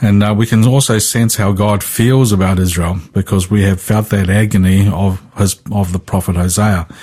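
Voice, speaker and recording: A man with a slight New Zealand accent speaks at a moderate pace with hardly any pauses, his voice somewhat breathy, dark and mellow, his pitch fairly low, his intonation fairly even and his loudness very even. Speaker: Bible teacher. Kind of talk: Bible study discussion on radio. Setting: remote link from another town.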